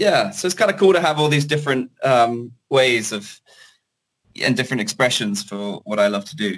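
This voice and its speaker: Someone speaks at a moderate pace in a British accent. The pitch swings very widely. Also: man, medium pitch for a man. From Hong Kong (British family). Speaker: singer-songwriter and producer. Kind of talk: interview. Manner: hesitant, many fillers.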